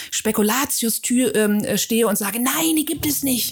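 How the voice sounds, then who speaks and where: The delivery comes at a moderate tempo, and it's a normal speaking voice. Its intonation rises and falls in a lively way. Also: woman. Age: 40s. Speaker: memory trainer and coach. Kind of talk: interview. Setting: studio.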